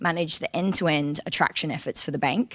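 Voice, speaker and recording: A woman speaks in an Australian accent. Her pitch is fairly low, with ordinary variation. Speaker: recruitment marketing lead. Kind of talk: conference presentation.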